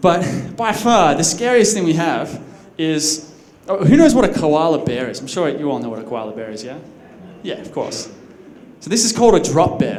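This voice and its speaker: A man with an Australian accent uses a high pitch, very wide pitch swings and big swings in loudness, with audible room echo and noticeable background noise. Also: moderate pace. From Australia, Sydney. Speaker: conference speaker. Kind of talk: conference talk. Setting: stage with audience. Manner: casual, with fillers and restarts.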